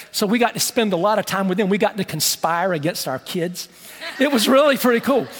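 Lively intonation and an animated tone come through over noticeable background noise. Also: man, high pitch for a man. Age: 60s. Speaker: pastor. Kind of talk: sermon. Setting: church with congregation. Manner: conversational, animated.

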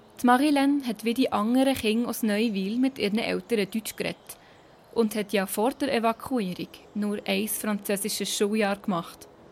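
In a Bernese accent, a woman speaks at a moderate pace in a fairly high, somewhat breathy voice with fairly even intonation. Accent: Bernese Swiss German dialect. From Switzerland, Bernese Seeland. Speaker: podcast host and producer. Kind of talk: scripted narration.

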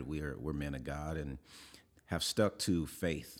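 A man's very deep, low voice with vocal fry, in an American accent, at a fairly slow pace. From Oakland, California. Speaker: podcast host, leadership speaker. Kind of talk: casual interview chat. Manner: energetic.

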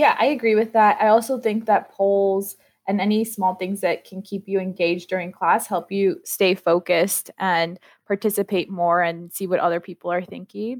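This woman has an unremarkable speaking voice, fairly even intonation and a moderate pace, with a dry, close sound and no echo. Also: medium pitch for a woman. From South Florida, US (born in Peru). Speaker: MBA student, student government co-president. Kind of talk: casual interview chat.

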